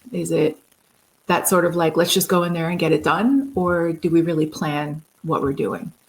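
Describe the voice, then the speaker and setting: A woman's fairly low voice with vocal fry and an American accent, at a moderate pace. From New York City, Queens. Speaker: program manager in AV industry. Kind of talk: casual podcast interview.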